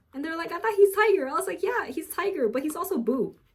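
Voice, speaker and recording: A woman speaks at an extremely high pitch. She talks at a fairly quick pace. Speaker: pet keeper vlogger. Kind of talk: casual vlog chat. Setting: home. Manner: halting, long pauses.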